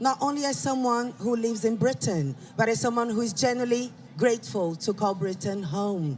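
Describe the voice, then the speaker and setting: At a moderate pace, someone talks with a Brazilian accent over noticeable background noise. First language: Portuguese. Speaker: rally speaker. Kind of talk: public speech.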